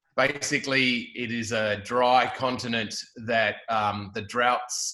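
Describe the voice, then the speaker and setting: A man with an Australian accent has a bright, sharp tone. His intonation stays monotone and flat. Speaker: filmmaker, roundtable participant. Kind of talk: roundtable discussion.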